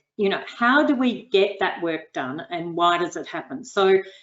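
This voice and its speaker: Her pitch sits in the medium range for a woman yet makes very wide swings. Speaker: researcher, panel expert. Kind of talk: expert panel webinar discussion. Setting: online webinar.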